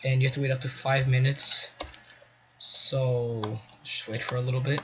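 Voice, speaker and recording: A man talks in a monotone with flat intonation. Noticeable background noise sits behind him. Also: medium pitch for a man, moderate pace. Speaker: gaming tutorial youtuber. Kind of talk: tutorial. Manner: halting.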